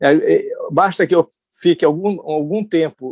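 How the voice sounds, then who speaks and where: A man speaks at a very slow pace. The sound is dry and close with no echo. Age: 70s. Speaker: journalist. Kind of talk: lecture. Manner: halting.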